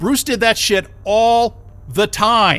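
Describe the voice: A man puts on a character voice, high in pitch and bright and sharp in tone, speaking at a slow pace. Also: ordinary pitch variation.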